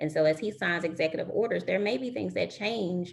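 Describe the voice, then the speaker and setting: Lively intonation and vocal fry at a moderate pace. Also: woman. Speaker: recruiter giving career advice. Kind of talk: webinar presentation.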